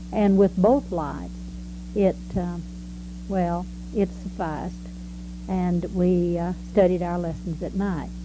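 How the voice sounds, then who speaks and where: A woman speaks with a Texan accent at a very slow pace. She takes long, frequent pauses. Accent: Texan Southern American. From Texas. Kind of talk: life story recollection. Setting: home recording, variable quality.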